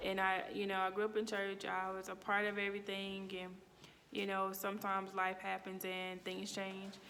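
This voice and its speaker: With a Mississippi accent, a woman speaks at medium pitch and a moderate pace in a monotone, flat way. The recording carries audible room echo and noticeable background noise. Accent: Mississippi Southern accent, noticeable. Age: 30s. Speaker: student. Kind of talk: personal reflection monologue. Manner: casual, with fillers and self-corrections.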